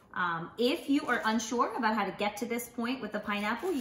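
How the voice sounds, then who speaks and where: A woman talks at a moderate pace. Light background noise and audible room echo are present. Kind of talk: tutorial. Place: kitchen. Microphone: camera far.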